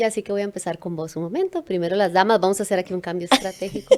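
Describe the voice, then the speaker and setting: Here a woman talks at a very fast pace. Her pitch is medium. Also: fairly even intonation. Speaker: podcast host. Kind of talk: podcast interview host.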